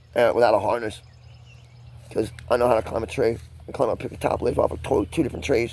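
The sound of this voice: At a fast pace, a man speaks with a medium pitch, fairly even intonation and a slightly mellow tone.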